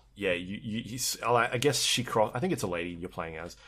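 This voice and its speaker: A man talks with an unremarkable speaking voice, fairly low in pitch and at a moderate pace, on a very clean recording with a silent background. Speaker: podcast host. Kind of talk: casual chat.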